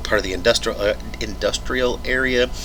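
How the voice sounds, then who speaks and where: A man with an American accent at a fairly quick pace, amid noticeable background noise and audible room echo. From US Midwest, Evansville, southern Indiana. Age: 30s. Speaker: YouTube reaction video creator. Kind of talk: casual video intro before a reaction. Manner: rambling with frequent fillers and self-corrections.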